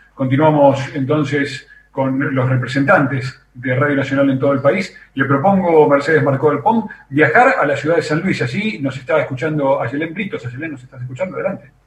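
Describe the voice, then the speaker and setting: A man with a normal speaking voice talks at a moderate pace, at a fairly high pitch with ordinary pitch variation. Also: hardly any pauses. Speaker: radio host. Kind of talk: radio hosting. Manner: formal.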